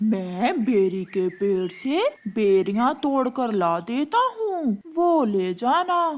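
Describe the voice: A cartoonish character voice at a very slow pace. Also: female-sounding voice, high pitch for a woman.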